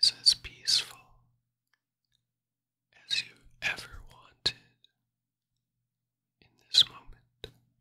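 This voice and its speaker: The voice is a man's whisper. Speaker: meditation guide. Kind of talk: guided meditation narration. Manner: soft, slow, hushed meditation voice. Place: home room. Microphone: studio mic.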